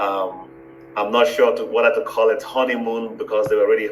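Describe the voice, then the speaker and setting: Music plays behind a man speaking at a moderate pace, with audible room echo. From Benin and Nigeria. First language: Igbo and Fon. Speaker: university founder, professor. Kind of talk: interview, life story. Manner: halting, many fillers.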